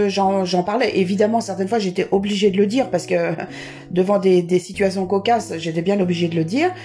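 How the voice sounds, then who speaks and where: A woman at medium pitch, with ordinary pitch variation, very even loudness and a fairly quick pace, over music in the background. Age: 60s. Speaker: person with a visual impairment. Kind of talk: casual interview. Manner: halting.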